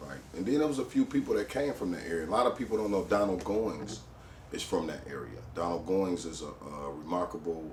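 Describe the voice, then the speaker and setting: A man with an American accent speaks at a moderate pace with ordinary pitch variation. Noticeable background noise and audible room echo are present. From Detroit east side, US. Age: 40s. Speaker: rapper. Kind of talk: interview storytelling. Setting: studio. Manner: casual, frequent fillers.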